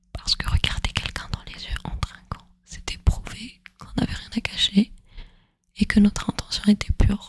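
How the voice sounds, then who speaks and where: Someone whispers in a gentle tone. The pace is fairly slow. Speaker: ASMR storyteller / content creator. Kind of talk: soft spoken ASMR educational narration. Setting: close microphone, headphones listening. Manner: soft-spoken, gentle, relaxing.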